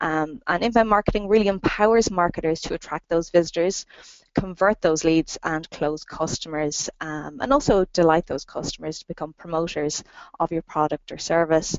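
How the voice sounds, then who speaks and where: A woman with an Irish accent, a fairly low pitch, ordinary pitch variation and big swings in loudness. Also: moderate pace. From Ireland. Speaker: marketing consultant and trainer. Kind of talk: interview. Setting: phone call.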